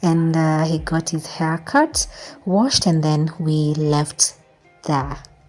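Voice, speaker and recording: Music plays behind a woman speaking at a very slow pace. Her voice sits fairly low. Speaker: mom vlogger. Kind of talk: vlog narration.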